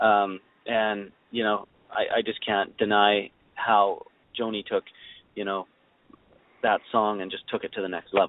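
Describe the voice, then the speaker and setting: A man's fairly low voice in a Canadian Prairie accent, fairly slow and monotone, with flat intonation and long, frequent pauses. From Saskatchewan, Canada. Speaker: country singer-songwriter. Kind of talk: interview. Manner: hesitant, repeats words.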